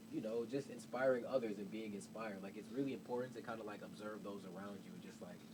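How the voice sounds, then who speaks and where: A man with an American accent talks at a very fast pace, his intonation fairly even but his loudness swinging widely. Noticeable background noise and audible room echo fill the recording. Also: medium pitch for a man. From Chicago, South Side. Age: 20s. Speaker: visual artist and designer. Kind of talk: casual interview. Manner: hesitant, many fillers.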